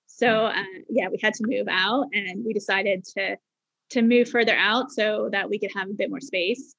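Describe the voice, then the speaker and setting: A woman speaks at a fairly quick pace, her fairly high voice keeping a fairly even intonation. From Bermuda. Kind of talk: casual interview chat.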